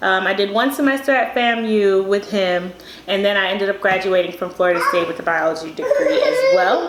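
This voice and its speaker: Noticeable background noise, audible room echo, and a woman speaking fairly quickly. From Miami, Bahamian family. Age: 20s. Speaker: dental student. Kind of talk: casual chat.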